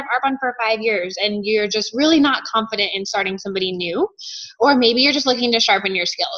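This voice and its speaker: Against noticeable background noise, a woman with a fairly high pitch and lively intonation speaks at a fairly quick pace. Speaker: sales consultant. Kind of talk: training call. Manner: fast.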